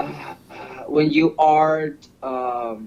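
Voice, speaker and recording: A man speaks at a fairly high pitch with a Spanish accent. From Honduras. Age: 40s. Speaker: host's partner. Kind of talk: casual chat. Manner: halting.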